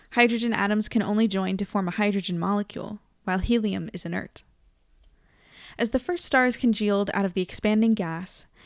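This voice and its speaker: A woman with an American accent talks at a fairly quick pace, her pitch fairly high and varying in an ordinary way. The recording is very clean with a silent background. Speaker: livestream host. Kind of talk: reading aloud; casual chat. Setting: live stream.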